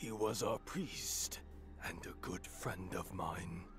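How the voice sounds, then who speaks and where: A man's put-on character voice, very deep and low, at a very slow pace over loud background noise. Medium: video game. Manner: gloomy, resigned.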